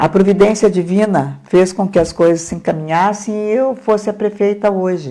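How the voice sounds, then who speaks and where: A woman speaks at a moderate pace with hardly any pauses. Her medium-pitched voice has a dark, mellow tone and ordinary pitch variation. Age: 70s. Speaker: mayor and election candidate. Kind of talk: interview. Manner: hesitant, with repetitions.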